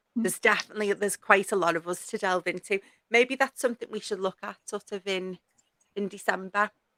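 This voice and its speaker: A woman talks very fast in a strong Scouse accent. Her tone is bright and sharp, her pitch medium and her intonation fairly even. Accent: strong northern (Scouse). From Liverpool, northern England. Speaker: podcast host. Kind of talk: casual chat.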